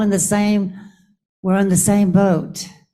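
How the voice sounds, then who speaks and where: A woman speaks in a medium pitch with an American accent and a dark, mellow tone. Audible room echo surrounds her voice. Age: 80s+. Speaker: audience member, activist. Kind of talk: audience comment. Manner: halting.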